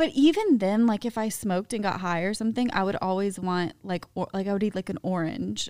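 With an American accent, a woman talks at a fairly quick pace with hardly any pauses, in an animated tone at a medium pitch with ordinary pitch variation. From Atlanta, US South. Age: 30s. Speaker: podcast co-host. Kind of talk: casual chat.

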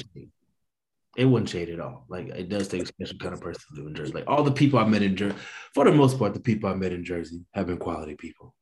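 Talking at a very fast pace, a man with a fairly low pitch sounds somewhat breathy, his intonation lively and his loudness swinging widely. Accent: American. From East St. Louis, Illinois. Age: 30s. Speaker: guest. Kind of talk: casual chat.

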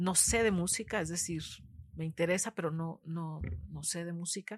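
Somewhat breathy and fairly low-pitched, a woman speaks at a fairly slow pace with fairly even intonation. The sound is dry and close, with no echo. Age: 50s. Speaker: poet. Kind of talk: interview conversation.

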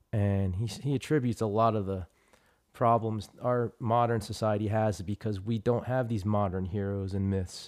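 This man talks in a normal speaking voice at a fairly low pitch and a moderate pace. His intonation is fairly even, and the sound is dry and close with no echo. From Trenton, New Jersey. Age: 40s. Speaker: martial arts teacher. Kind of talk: casual chat. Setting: at home.

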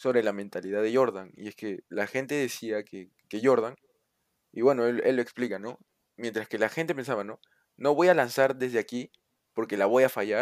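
On a very clean recording with a silent background, a man with a Peruvian accent speaks at a medium pitch, the sound dry and close with no echo. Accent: Peruvian Spanish (Lima). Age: 20s. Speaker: university student. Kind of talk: casual chat.

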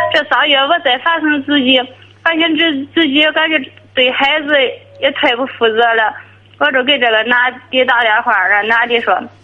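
A woman speaks in a high voice at a moderate pace, with ordinary pitch variation and very even loudness. There is noticeable background noise. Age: 30s. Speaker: caller. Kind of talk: call-in advice conversation. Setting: phone call. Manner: halting.

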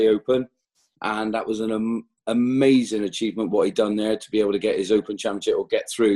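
A man speaks with a West Country accent at a medium pitch and a moderate pace. His tone is dark and mellow, and the sound is dry and close with no echo. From West Country, England. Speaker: podcast co-host, golfer. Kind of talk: casual chat. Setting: video call.

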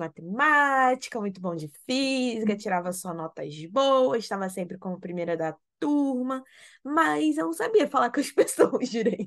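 A woman with a plain, everyday voice, lively intonation and a fairly slow pace, against a quiet background. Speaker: podcast co-host, interior designer. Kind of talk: casual chat. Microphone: new microphone.

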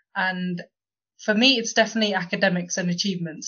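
With a normal speaking voice, a woman talks at a medium pitch and fairly even intonation. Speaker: podcast host. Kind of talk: casual discussion.

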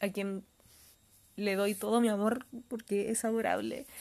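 Fairly slow speech with a Chilean accent against a quiet background. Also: woman. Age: 20s. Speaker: podcast host reviewing manga. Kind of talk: casual solo review monologue.

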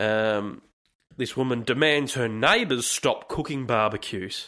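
At a moderate pace, a man with an Australian accent speaks at medium pitch with ordinary pitch variation, on a very clean recording with a silent background. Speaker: podcast host. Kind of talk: casual solo monologue.

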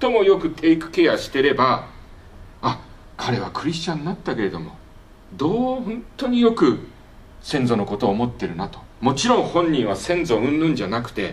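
With vocal fry and a fairly high pitch, a man speaks at a moderate pace with very wide pitch swings, big swings in loudness and long, frequent pauses, amid audible room echo. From Japan. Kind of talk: lecture. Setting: workshop with audience.

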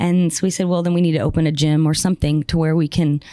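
A woman with a plain, everyday voice, fairly low in pitch with fairly even intonation, on a very clean recording with a silent background. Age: 30s. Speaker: gym owner and boxing coach. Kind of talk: interview.

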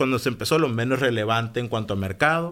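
An unremarkable speaking voice from a man, medium in pitch with ordinary pitch variation. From Mexico, Hermosillo, Sonora. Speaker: entrepreneur. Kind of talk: interview conversation. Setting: studio.

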